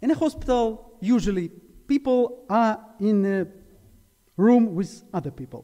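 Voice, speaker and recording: A man speaks with a Ukrainian accent. His pitch is high and his intonation lively. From Ukraine, Zaporizhia. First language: Ukrainian or Russian. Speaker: preacher. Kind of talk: sermon. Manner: halting.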